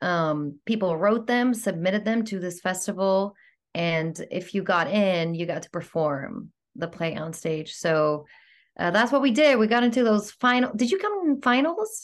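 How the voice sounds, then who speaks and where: Over a quiet background, a woman speaks at a moderate pace and medium pitch with lively intonation. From Greece, Athens. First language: Greek. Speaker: actor and swing dancer. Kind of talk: casual interview chat. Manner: animated.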